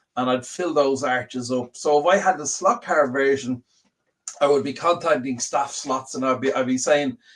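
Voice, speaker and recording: Speaking at a moderate pace, a man with an Irish accent has a fairly high pitch and ordinary pitch variation. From Ireland. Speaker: slot car show co-host. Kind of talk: casual chat. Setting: live stream.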